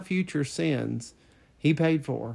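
Speaking fairly slowly in a normal speaking voice, a man uses a fairly high pitch with ordinary variation. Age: 50s. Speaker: former pastor, podcast co-host. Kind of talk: casual chat.

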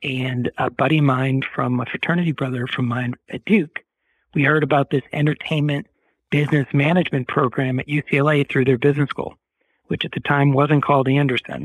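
A man with an American accent talks at a fairly quick pace in an ordinary speaking voice. His pitch is fairly high, and his intonation stays fairly even. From US Northeast, Boston. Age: 50s. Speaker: former film industry dealmaker, cancer survivor. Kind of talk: interview, personal story.

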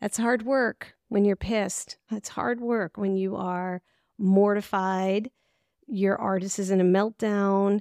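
A woman speaks at a very slow pace in a medium pitch with fairly even intonation. The recording is very clean, with a silent background and a dry, close sound with no echo. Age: 60s. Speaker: arts manager and podcast host. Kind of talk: solo podcast monologue.

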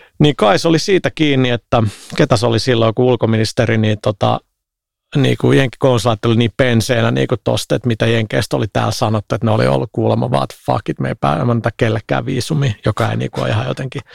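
Very fast speech with vocal fry and very wide pitch swings, in a dry, close sound without echo. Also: man, medium pitch for a man. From Finland, Helsinki (Herttoniemi). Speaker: games industry entrepreneur. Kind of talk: casual chat.

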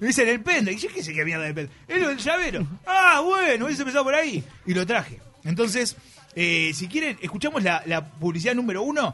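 A man's high, raised and projected voice in a Uruguayan accent, with very wide pitch swings, a fairly quick pace and noticeable background noise. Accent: Rioplatense Spanish (Uruguayan). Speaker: radio comedy host. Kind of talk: casual comedic radio chat.

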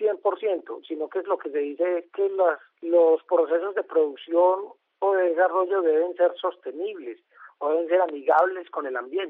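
A man talks at a moderate pace. His pitch is high. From Colombia, Antioquia. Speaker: biology professor and protected-areas coordinator. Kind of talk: radio interview. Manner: halting, many fillers.

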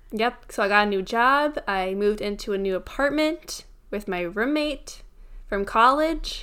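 Very cleanly recorded against a silent background, a woman speaks at a fairly slow pace with lively intonation and a fairly high pitch, in a plain, everyday voice. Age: 20s. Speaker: podcast co-host. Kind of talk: casual chat.

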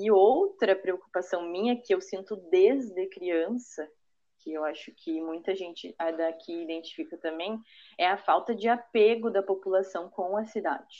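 Speaking at a fairly slow pace, a woman uses an unremarkable speaking voice. Her pitch is medium, with ordinary variation. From Parobé, Rio Grande do Sul, Brazil. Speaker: architect. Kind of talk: casual interview.

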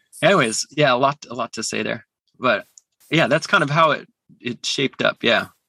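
Pausing often and at length, a man with a western Canadian accent speaks at a moderate pace in a fairly high pitch with ordinary pitch variation and a bright, sharp tone. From Calgary, western Canada. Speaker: musician. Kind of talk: casual chat. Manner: halting.

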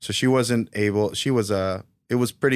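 In an American accent, a man talks at a fairly quick pace. The recording is very clean, with a silent background. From New York City, Queens. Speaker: coffee shop owner. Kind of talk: interview.

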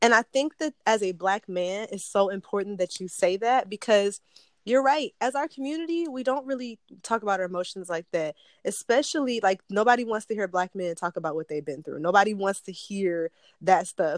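Against a quiet background, a woman with an American accent speaks in a plain, everyday voice at a medium pitch and a fairly quick pace, with lively intonation and a dry, close sound with no echo. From Detroit. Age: 20s. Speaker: podcast host. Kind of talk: casual interview.

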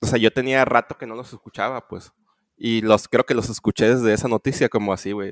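Big swings in loudness mark a man's fairly quick, medium-pitched speech, delivered in a monotone, flat intonation with a dry, close sound and no echo. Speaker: podcast co-host. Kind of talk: casual chat. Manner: halting, many fillers.

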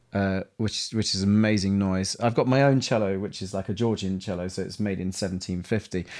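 With a London accent, a man talks at a fairly quick pace and fairly low pitch, keeping a fairly even intonation with hardly any pauses. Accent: Cockney-tinged London English. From East London, England. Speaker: composer. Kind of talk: interview conversation.

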